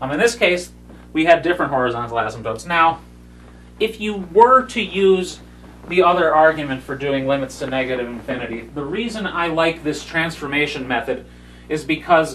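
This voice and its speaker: Over noticeable background noise and audible room echo, a man talks at a moderate pace with lively intonation and a fairly high pitch. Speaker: math lecturer. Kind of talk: lecture. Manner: loud, yelling when explaining.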